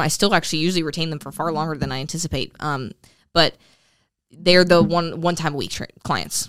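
Her pitch fairly low for a woman, she speaks at a fairly quick pace with fairly even intonation. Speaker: fitness podcast host and personal trainer. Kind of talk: casual chat. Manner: intense.

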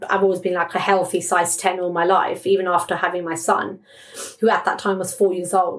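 In a British accent, a woman talks fairly quickly at a medium pitch with monotone, flat intonation, over noticeable background noise. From England. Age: 30s. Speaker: breast cancer survivor and charity campaigner. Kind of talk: interview testimony.

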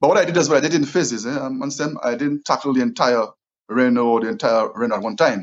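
A man with a Saint Lucian accent talks at a very fast pace and a medium pitch. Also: ordinary pitch variation. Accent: St. Lucian English. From St. Lucia (south, village). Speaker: property investor. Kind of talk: interview.

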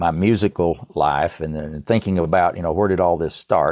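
Speaking at a moderate pace with ordinary pitch variation, this voice carries an East Tennessee accent over a quiet background. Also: man. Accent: East Tennessee Southern US. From US South. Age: 70s. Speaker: musician and composer, former computer programmer. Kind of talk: podcast interview. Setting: remote call.

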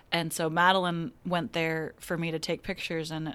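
A woman with fairly low pitch talks at a fairly slow pace, her intonation fairly even, in a plain, everyday voice. The recording is very clean with a silent background. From Kansas (Wichita). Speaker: magazine art director. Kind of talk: casual interview.

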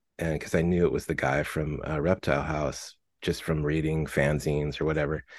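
In an American accent, a man with a very deep, low voice and vocal fry talks fairly quickly in a monotone, flat delivery. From Southern California (Fullerton). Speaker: musician, singer-songwriter. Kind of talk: casual interview chat.

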